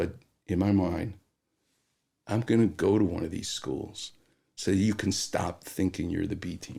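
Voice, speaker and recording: Somewhat breathy and dark, mellow in tone, a man with an American accent talks at a fairly slow pace with long, frequent pauses. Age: 60s. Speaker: orthopedic surgeon. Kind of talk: podcast interview storytelling. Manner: animated.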